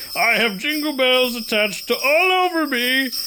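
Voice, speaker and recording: A put-on character voice, high-pitched, at a moderate pace, with noticeable background noise. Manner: jolly.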